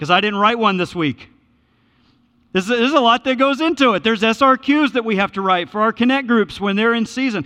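A man speaks in a raised, projected voice at a high pitch. His tone is bright and sharp, and his pace is fairly quick. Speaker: pastor. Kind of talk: sermon. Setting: church. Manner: fast.

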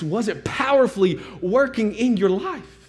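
Room echo is audible as the words come out very slowly. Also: man. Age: 40s. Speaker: pastor. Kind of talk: sermon.

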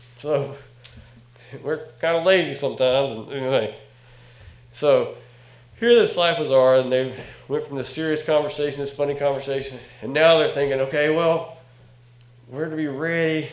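A man with a Southern US accent speaks with long, frequent pauses. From North Carolina. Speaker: guest preacher and ministry director. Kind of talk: sermon. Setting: church.

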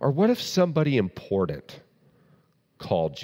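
Lively intonation and a dark, mellow tone mark this voice with a Southern US accent on a very clean recording with a silent background. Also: man. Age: 30s. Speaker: pastor. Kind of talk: doctrinal teaching sermon. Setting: church service with congregation.

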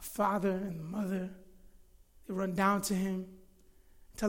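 Audible room echo surrounds a man's raised, projected voice, pitched high. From Florida. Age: 30s. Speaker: pastor. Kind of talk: sermon. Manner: halting.

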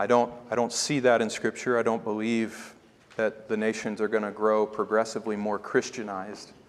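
A man speaks in a fairly low voice. His intonation stays flat and monotone. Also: moderate pace. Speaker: preacher. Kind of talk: sermon. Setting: church.

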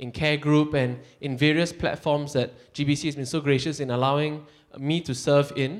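This is a plain, everyday voice. The man speaks with a fairly high pitch. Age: 30s. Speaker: church worker. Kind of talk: testimony.

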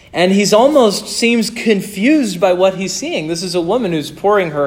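A high-pitched man with an American accent, ordinary pitch variation, and a moderate pace, amid noticeable background noise and audible room echo. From northern US. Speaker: pastor. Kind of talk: sermon.

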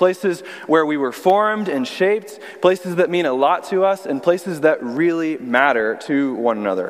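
A man with an American accent speaks at a moderate pace and a fairly high pitch. His intonation is lively, and there is noticeable background noise. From Texas (Austin). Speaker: youth pastor, guest preacher. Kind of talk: sermon. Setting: church service.

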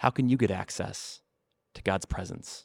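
A man's voice comes across dry and close with no echo on a very clean recording with a silent background. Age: 30s. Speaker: student ministry pastor. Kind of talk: short sermon. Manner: repetitive, with frequent fillers.

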